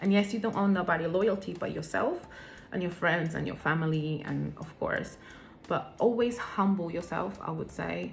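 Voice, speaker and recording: A woman talks at a moderate pace with a non-native accent. Room echo is audible. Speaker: vlogger. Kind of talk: personal vlog talk. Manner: hesitant, with fillers.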